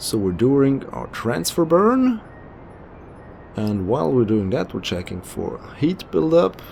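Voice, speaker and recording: Amid noticeable background noise, a man with a German accent speaks at a very slow pace and medium pitch, his voice making very wide pitch swings. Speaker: video game commentator. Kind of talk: gameplay commentary. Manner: casual.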